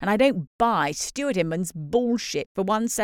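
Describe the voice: Against a quiet background, the plain reading aloud carries lively intonation.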